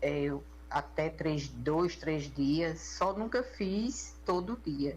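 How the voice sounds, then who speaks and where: Very slow speech from a woman, with audible room echo. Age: 60s. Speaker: listener sharing a health case. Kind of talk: recorded personal testimony.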